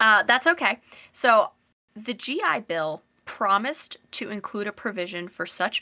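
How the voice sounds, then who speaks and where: A bright, sharp tone in an American accent at a moderate pace, with ordinary pitch variation, a dry, close sound with no echo, and a very clean recording with a silent background. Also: woman. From US, semi-rural suburban fringe. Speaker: podcast host. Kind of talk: casual educational discussion.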